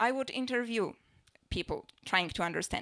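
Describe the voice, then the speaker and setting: In a Polish accent, a woman speaks high and fairly quickly with lively intonation, on a very clean recording with a silent background. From Poland. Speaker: stand-up comedian and social researcher. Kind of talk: stand-up. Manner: fast.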